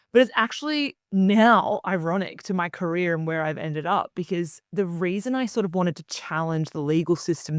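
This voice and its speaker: A woman speaks with an Australian accent. The recording is very clean and dry, with a silent background and a close sound without echo. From Australia, Queensland. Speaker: media founder and commentator. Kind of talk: interview.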